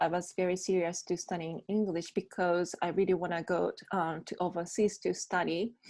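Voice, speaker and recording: A woman of medium pitch with a Japanese accent. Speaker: bilingual MC and voice actor. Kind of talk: interview answer. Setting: video call.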